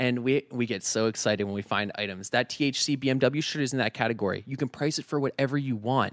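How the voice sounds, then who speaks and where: A man with an American accent talks at a very fast pace with hardly any pauses, at a medium pitch with ordinary pitch variation. The sound is dry and close, with no echo. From Northern Virginia, US. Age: 20s. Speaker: vintage store owner and entrepreneur. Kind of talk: casual interview chat.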